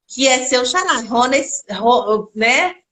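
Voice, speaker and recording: A woman with a Minas Gerais accent speaks in a bright, sharp tone. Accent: mineiro (Minas Gerais) Brazilian Portuguese. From Minas Gerais, Brazil. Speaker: storyteller and actress. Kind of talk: casual chat. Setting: live stream conversation.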